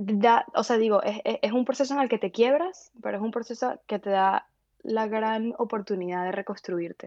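An unremarkable speaking voice with ordinary pitch variation at a moderate pace. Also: woman, fairly high pitch for a woman. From Venezuela, Valencia. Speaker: philosopher. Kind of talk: interview.

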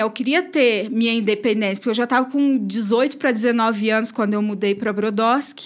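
Her pitch fairly high, a woman talks at a moderate pace. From Brazil, São Paulo state countryside. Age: 30s. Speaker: church evangelist. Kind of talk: testimony.

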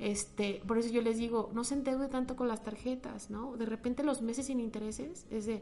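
Someone talks at a fairly quick pace with fairly even intonation over noticeable background noise. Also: woman, fairly high pitch for a woman. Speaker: economist and finance lecturer. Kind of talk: interview.

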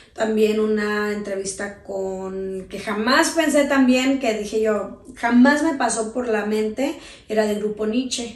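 With hardly any pauses, a woman speaks at a very slow pace in a fairly high pitch with ordinary pitch variation, with audible room echo and noticeable background noise. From Sinaloa, Mexico (raised), teen years in Tijuana. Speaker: radio host and producer. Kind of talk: interview.

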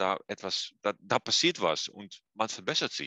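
Heard with a dry, close sound and no echo, a man speaks at a very slow pace in a bright, sharp tone. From eastern Netherlands. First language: Dutch (speaking German). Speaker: physiotherapy professor. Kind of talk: interview. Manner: halting, many hesitations.

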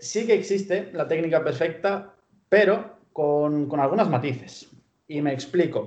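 A man with a Spanish accent, a fairly high pitch and ordinary pitch variation. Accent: purely Spanish (Spain). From Pamplona, Spain (born in Bulgaria, moved at 12). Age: 20s. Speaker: sports science student and fitness coach. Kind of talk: interview.

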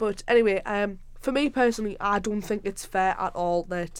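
A woman's medium-pitched voice with a Sunderland accent. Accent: Sunderland (Mackem) Northeast English. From South Shields, now Sunderland, Northeast England. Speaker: podcast host, university student.

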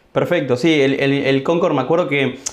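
Using an ordinary speaking voice, a man talks at a moderate pace with a fairly high pitch. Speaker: podcast host, trader. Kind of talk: casual interview.

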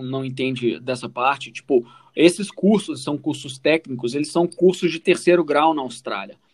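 Here a man has a normal speaking voice, pitched fairly high. He talks at a moderate pace with ordinary pitch variation. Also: big swings in loudness. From Brazil, Minas Gerais (Formiga). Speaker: podcast co-host, immigrant telling his story. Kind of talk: casual chat.

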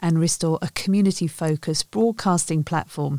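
A woman with a British accent speaks at fairly low pitch with ordinary pitch variation and a dark, mellow tone. The sound is dry and close, with no echo. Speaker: news presenter. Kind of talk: news reading.

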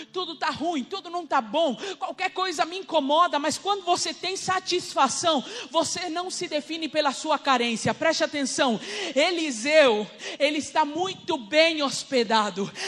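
Against noticeable background noise, a woman with a high pitch speaks in an animated tone with lively intonation at a fairly slow pace. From Uruguay, Rivera. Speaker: preacher. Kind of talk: sermon.

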